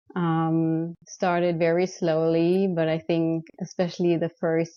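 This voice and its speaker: Very slowly and with monotone, flat intonation, a woman with a German accent speaks at a fairly low pitch. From Germany. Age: 30s. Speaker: photographer. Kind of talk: interview. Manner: hesitant, many fillers.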